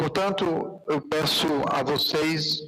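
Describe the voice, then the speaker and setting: A male voice with ordinary pitch variation. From Piauí, northeastern Brazil. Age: 60s. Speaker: city councillor. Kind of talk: council session speech. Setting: council chamber, live broadcast.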